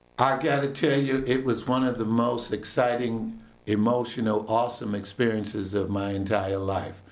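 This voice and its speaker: At a moderate pace with hardly any pauses, a man of medium pitch speaks with fairly even intonation and very even loudness, with audible room echo. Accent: American. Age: 60s. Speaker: local historian. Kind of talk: radio interview.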